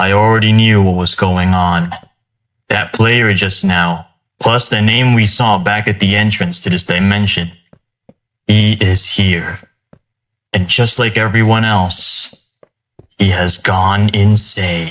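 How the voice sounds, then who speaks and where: Using a put-on character voice, a man talks at a fairly slow pace and fairly low pitch, with long, frequent pauses. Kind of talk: horror narration. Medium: machinima.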